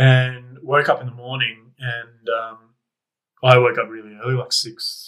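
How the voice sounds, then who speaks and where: A man speaks in an Australian accent with a bright, sharp tone. His pitch is medium. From Canberra, Australia. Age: 30s. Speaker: podcast guest. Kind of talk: casual chat.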